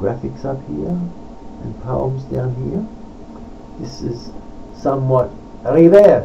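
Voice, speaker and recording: Against noticeable background noise, the words arrive very slowly. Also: man. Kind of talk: casual talk to camera.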